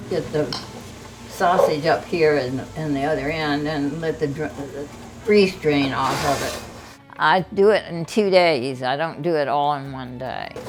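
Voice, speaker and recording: Over music in the background and an audible room echo, a woman with an American accent talks at a fairly slow pace in a very deep, low voice with ordinary pitch variation. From US South. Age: 90s. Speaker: community volunteer. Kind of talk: casual interview. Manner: halting.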